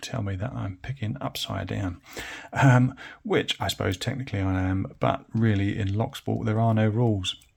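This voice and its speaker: A man's somewhat breathy voice with an English accent, fairly low in pitch, with ordinary pitch variation. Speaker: hobbyist lock picker, video creator. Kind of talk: tutorial. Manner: casual, hesitant with many fillers.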